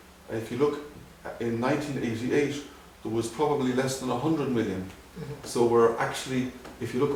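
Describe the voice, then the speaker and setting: Speaking fairly quickly in an Irish accent, a man with a medium pitch is heard over noticeable background noise. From Dublin, Ireland. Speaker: ophthalmologist. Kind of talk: interview answer.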